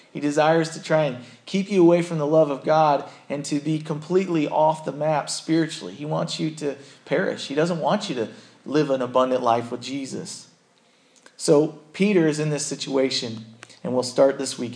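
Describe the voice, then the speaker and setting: A plain, everyday voice from a man, fairly high in pitch, at a moderate pace with ordinary pitch variation. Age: 30s. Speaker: pastor. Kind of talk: sermon.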